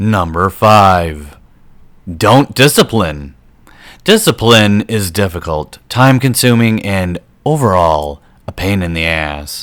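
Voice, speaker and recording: A man talks at a very slow pace. His fairly low voice has lively intonation. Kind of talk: voice-over commentary over gameplay. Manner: sarcastic, sardonic.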